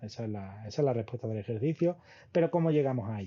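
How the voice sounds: A man talks at a fast pace with ordinary pitch variation.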